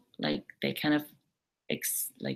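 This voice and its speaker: A woman with a German accent. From Germany. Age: 20s. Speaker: au pair. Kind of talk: live webinar talk. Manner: hesitant, many fillers.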